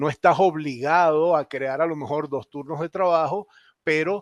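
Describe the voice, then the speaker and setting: In a Venezuelan accent, a man speaks with ordinary pitch variation against a quiet background. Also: dry, close sound with no echo. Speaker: company general manager. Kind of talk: panel discussion.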